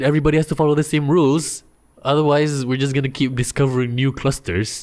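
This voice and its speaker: A man talks at a very fast clip in a fairly high voice. The recording is very clean, with a silent background. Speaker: podcast host. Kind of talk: casual chat.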